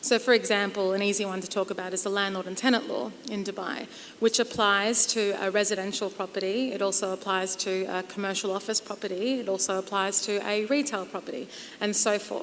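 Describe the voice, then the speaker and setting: Her pitch is medium as a woman speaks with an Australian accent. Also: fairly even intonation, fairly quick pace. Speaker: property lawyer. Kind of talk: conference panel discussion.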